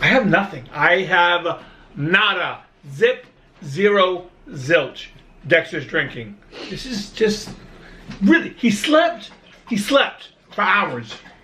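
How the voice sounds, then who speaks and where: A raised, projected voice with an American accent, very slow and full of long, frequent pauses, with very wide pitch swings over noticeable background noise. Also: man, high pitch for a man. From Brooklyn, New York. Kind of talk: casual talk to camera.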